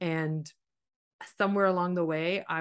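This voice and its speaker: A woman's plain, everyday voice, fairly low in pitch, with a Canadian accent, fairly quick pace and fairly even intonation over a quiet background. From Canada, Ontario. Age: 40s. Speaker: life coach. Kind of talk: coaching conversation. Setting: call.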